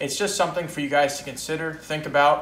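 In audible room echo, a man speaks with fairly even intonation. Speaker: coin dealer. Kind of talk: video blog about coin collecting. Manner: casual, conversational. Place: home room. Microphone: camera far.

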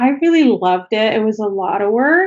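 A woman speaks with ordinary pitch variation. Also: quiet background. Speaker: remote podcast guest. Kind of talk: interview answer. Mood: friendly, reminiscing. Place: home room. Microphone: video call.

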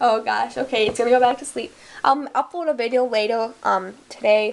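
A woman speaks at a fairly high pitch with vocal fry. Her intonation stays fairly even at a fairly quick pace. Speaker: pet video vlogger. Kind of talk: casual vlog talk. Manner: fast. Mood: light, slightly amused. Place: home room. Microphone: phone near.

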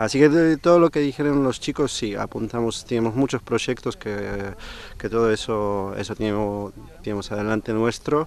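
Speaking with a Polish accent, a man uses a medium pitch. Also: ordinary pitch variation, moderate pace. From Poland. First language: Polish (speaking Spanish). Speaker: sailing club vice president and boatbuilder. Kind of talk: interview at an inauguration event.

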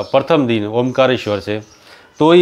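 With ordinary pitch variation, a man is speaking. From Rajasthan, India. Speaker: pilgrim vlogger. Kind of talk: Q&A answering viewer comments. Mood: calm, devotional, friendly. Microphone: lapel.

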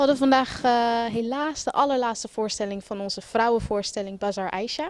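A woman speaks at a moderate pace with a fairly high pitch and fairly even intonation.

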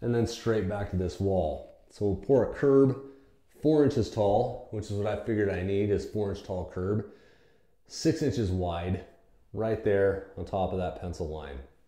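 With audible room echo over a quiet background, a man talks at a moderate pace with ordinary pitch variation. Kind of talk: tutorial. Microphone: camera far.

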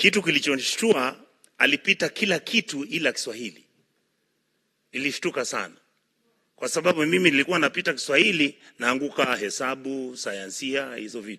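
A fairly high-pitched man with a bright, sharp tone, lively intonation and big swings in loudness, at a moderate pace against a quiet background. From Kenya. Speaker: senator. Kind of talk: parliamentary speech. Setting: senate chamber. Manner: halting, with repeated words. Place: hall. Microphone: podium.

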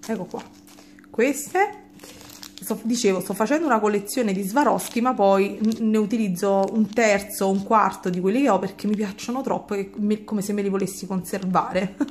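Against noticeable background noise, a woman talks at medium pitch and a moderate pace, with fairly even intonation and long, frequent pauses. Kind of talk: product review chat. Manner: casual, with frequent hesitations.

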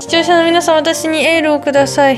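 A woman talks at a very fast pace. Clear music plays behind her. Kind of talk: casual vlog chat. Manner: weak, ill patient lying down. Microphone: phone near.

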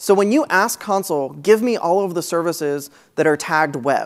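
Over a quiet background, a man speaks with a high pitch. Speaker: conference speaker, technical advocate. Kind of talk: technical conference talk. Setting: stage. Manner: fast talker. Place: hall.

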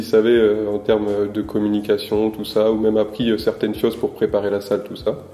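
In a room with audible echo, a man with a dark, mellow tone and medium pitch talks at a fairly quick pace. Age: 20s. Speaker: sports club communications trainee; guest. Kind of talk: interview. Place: home room.

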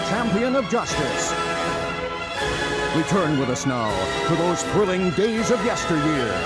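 Loud music plays in the background while a man speaks at a moderate pace. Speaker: announcer. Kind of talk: TV series intro announcement. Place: studio.

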